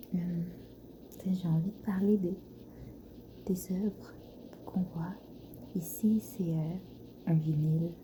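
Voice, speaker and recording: Whispering and soft-spoken, the voice has a gentle tone at a very slow pace. Long pauses come often. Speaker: ASMR creator, floristry student. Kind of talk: ASMR soft talking, casual musings to camera. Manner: soft-spoken, whispered, gentle.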